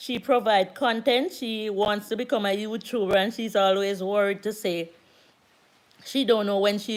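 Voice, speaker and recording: A woman is speaking here. She talks with a Jamaican accent. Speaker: YouTuber. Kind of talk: live stream chat. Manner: loud.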